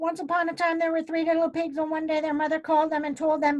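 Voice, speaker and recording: Putting on a character voice, a woman talks at a very fast pace with an extremely high pitch and monotone, flat intonation. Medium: read story.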